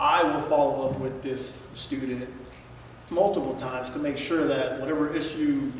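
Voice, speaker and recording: A man speaks at a moderate pace in a fairly high pitch, with noticeable background noise and audible room echo. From New York, born in Dominican Republic. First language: Spanish. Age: 30s. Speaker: school resource officer. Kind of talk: public forum talk. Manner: talkative.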